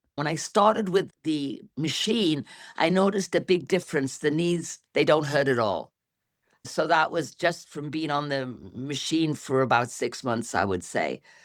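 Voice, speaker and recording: On a very clean recording with a silent background, a woman with a very deep, low pitch talks at a moderate pace with lively intonation. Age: 60s. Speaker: interviewee sharing health results. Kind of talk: interview testimony.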